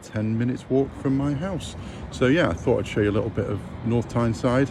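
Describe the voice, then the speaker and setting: A man at medium pitch and a moderate pace, with noticeable background noise. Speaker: travel vlogger. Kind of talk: casual vlog narration. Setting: outdoors. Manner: casual, hesitant with many fillers.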